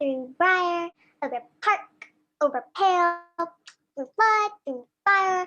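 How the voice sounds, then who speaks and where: In a put-on character voice that is squeaky and extremely high, the speaker goes at a fairly slow pace with long, frequent pauses. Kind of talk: Shakespearean verse. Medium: audio drama. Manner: light, sing-song.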